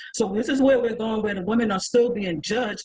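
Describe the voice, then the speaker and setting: In an American accent, a woman talks very fast with a fairly high pitch and an animated tone. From New York. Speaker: panelist. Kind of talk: panel discussion.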